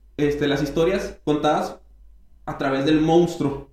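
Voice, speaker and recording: In a room with audible echo, a man speaks in an animated tone at a moderate pace. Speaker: podcast host and comedian. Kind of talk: casual chat.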